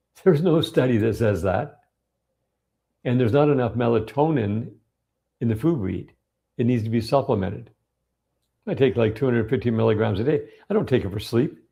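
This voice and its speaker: A somewhat breathy man's voice at a medium pitch, with ordinary pitch variation and a fairly quick pace. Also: long, frequent pauses. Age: 60s. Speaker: health educator. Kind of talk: live-streamed Q&A monologue. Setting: live stream. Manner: animated.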